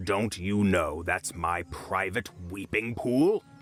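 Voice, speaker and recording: Growling in a put-on character voice, a man talks at a fairly slow pace with a fairly low pitch while music plays in the background. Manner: angry.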